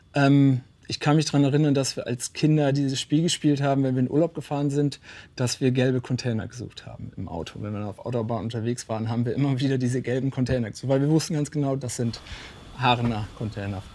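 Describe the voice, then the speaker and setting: The voice moves at a very fast pace, dark and mellow in tone, with ordinary pitch variation. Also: man, medium pitch for a man. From northern Germany, Emsland (Low German region). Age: 40s. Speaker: company department head. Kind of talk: interview for company portrait video. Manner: hesitant, many fillers.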